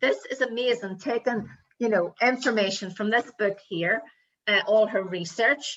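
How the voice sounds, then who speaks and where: With a Northern Irish accent, a woman speaks at a fairly high pitch with ordinary pitch variation. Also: moderate pace. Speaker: motivational coach and show host. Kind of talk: casual chat.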